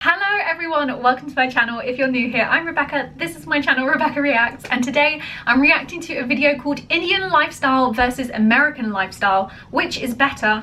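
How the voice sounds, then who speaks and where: Over noticeable background noise, a woman talks very fast in a high, raised and projected voice, hardly pausing at all. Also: ordinary pitch variation. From England. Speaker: reaction video creator. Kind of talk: casual chat.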